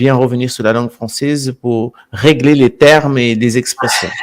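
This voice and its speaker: Speaking at a very slow pace with a Brazilian accent, a man holds a medium pitch and fairly even intonation. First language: Portuguese (speaking French). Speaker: alternative history presenter. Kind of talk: live stream talk. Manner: halting, repeats words.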